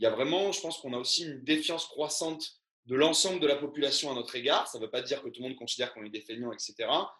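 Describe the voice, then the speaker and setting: A man's very fast delivery with big swings in loudness and ordinary pitch variation. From Var, southern France. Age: 30s. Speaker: teacher. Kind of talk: reading aloud; interview conversation. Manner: halting.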